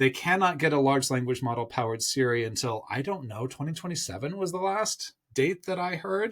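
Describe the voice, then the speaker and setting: A man with a plain, everyday voice, fairly high pitch and lively intonation at a moderate pace, in a very clean recording with a silent background. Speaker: tech commentator. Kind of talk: news commentary monologue.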